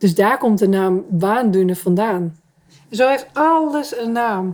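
Speaking at a fairly slow pace, a woman with a fairly high pitch uses lively intonation in a dark, mellow tone. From Terschelling, Netherlands. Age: 40s. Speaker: island resident. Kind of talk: interview.

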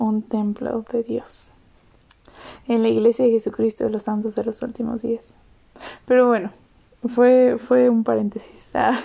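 A woman in a central Mexican accent speaks with monotone, flat intonation, a dark, mellow tone and a fairly high pitch for a woman. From Mexico, State of Mexico. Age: 20s. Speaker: poet and podcaster. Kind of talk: casual monologue with poetry reading.

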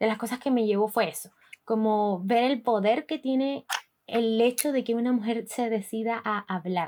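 A plain, everyday voice at a moderate pace with fairly even intonation, on a very clean recording with a silent background. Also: woman. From Colombia, Barranquilla. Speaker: podcast host. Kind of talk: casual chat.

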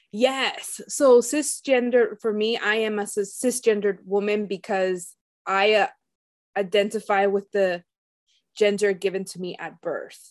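A woman with a plain, everyday voice and medium pitch talks at a fairly slow pace, her intonation fairly even but with big swings in loudness. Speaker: entrepreneur and eating disorder advocate. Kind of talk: casual interview conversation.

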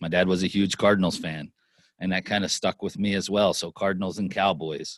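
Against a quiet background with a dry, close sound with no echo, a man with a plain, everyday voice and a fairly low pitch talks at a moderate pace with ordinary pitch variation. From Pennsylvania, Lancaster. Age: 40s. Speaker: sports executive and entrepreneur. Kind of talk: interview, life story.

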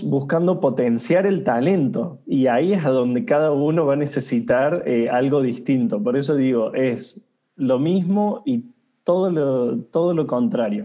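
A man with an ordinary speaking voice talks at a fairly slow pace and very even loudness. His fairly high voice has lively intonation. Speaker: HR consultant. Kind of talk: interview.

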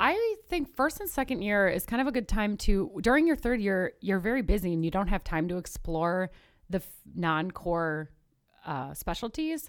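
In an American accent, a woman speaks at a medium pitch and a moderate pace, with very wide pitch swings. The recording is very clean with a silent background. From northern US. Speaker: medical student. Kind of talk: casual chat.

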